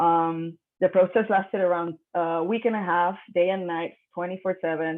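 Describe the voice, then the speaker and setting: A woman with a Puerto Rican accent speaks at a fairly low pitch. Her pace is moderate and her intonation is monotone and flat. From Puerto Rico. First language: Spanish. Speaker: artist. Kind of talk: artist talk, partly read aloud. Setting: video call. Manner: hesitant, many fillers.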